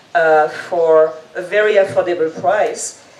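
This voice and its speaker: A French accent over noticeable background noise. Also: woman. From French-speaking, Reunion island. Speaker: event guide creator, entrepreneur. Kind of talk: presentation talk. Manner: energetic.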